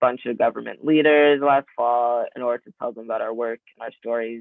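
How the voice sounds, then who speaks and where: A man with an unremarkable speaking voice talks at medium pitch with fairly even intonation. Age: 20s. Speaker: youth climate activist, lawsuit plaintiff. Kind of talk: guest lecture. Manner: casual, many filler ums.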